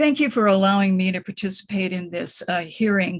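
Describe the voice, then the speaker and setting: A woman's voice comes through somewhat breathy. She talks at a moderate pace and a medium pitch. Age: 70s. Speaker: retired nurse, public commenter. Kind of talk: public hearing comment.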